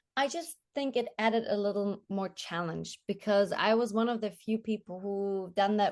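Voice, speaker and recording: Against a quiet background, a woman with a slight German accent speaks at a moderate pace, her pitch medium with ordinary variation. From Germany. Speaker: TV journalist and presenter. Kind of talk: interview. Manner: halting, with repeated words.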